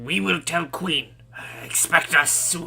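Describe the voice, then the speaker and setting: A man puts on a raspy character voice, fairly high in pitch and fairly slow, over clear background noise. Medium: actual play. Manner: blunt, broken phrasing.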